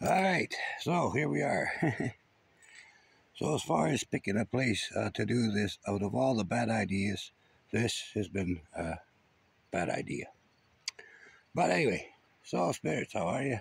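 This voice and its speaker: A man talks at a fairly slow pace in a fairly low voice, with long, frequent pauses. The sound is dry, with no echo. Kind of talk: addressing spirits, casual vlog chat. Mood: calm, slightly joking. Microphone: phone near.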